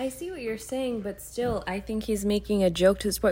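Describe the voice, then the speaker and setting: A soft-spoken woman at a medium pitch. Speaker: podcast co-host. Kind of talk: casual chat.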